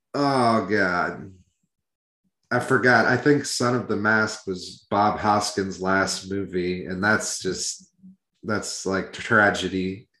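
With an American accent, a man speaks at a very slow pace in a fairly low pitch. His tone is bright and sharp, with ordinary pitch variation. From Iowa. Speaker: metal podcast co-host. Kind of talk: casual chat.

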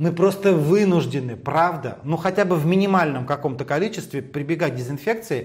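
Pitch rises and falls in an ordinary way. The delivery runs fairly quick. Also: man. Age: 50s. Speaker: hairdresser and stylist. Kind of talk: interview. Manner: animated.

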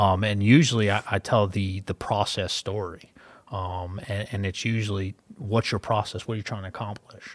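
The intonation stays fairly even. It is a very clean recording with a silent background. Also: man, fairly low pitch for a man, moderate pace. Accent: Philadelphia. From Philadelphia, US. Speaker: wealth advisor and podcast host. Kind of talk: casual business podcast chat.

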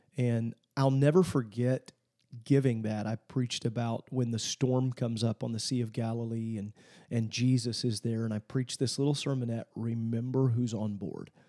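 A man's medium-pitched voice with an American accent, dark and mellow in tone, fairly even in intonation, at a moderate pace, dry and close with no echo on a very clean recording with a silent background. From Illinois, small farm town. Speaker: pastor and Bible college president. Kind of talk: interview.

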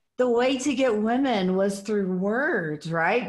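The woman's voice is somewhat breathy. She talks at a very slow pace. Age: 40s. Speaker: podcast host. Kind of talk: podcast interview. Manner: animated.

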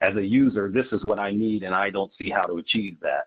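Speaking at a moderate pace, a man with an American accent uses an ordinary speaking voice pitched fairly low. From Ohio (Dayton). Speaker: startup attorney and app founder. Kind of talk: casual interview.

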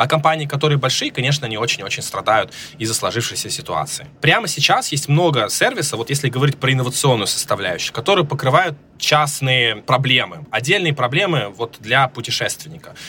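With noticeable background noise behind him, a man speaks fairly quickly at a fairly high pitch with ordinary pitch variation. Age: 30s. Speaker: startup founder. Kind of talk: interview. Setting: remote recording.

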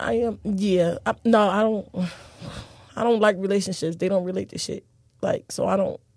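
A woman talks with an ordinary speaking voice, her intonation fairly even. Her pitch is medium and her pace moderate. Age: 30s. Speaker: dancer. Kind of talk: casual chat.

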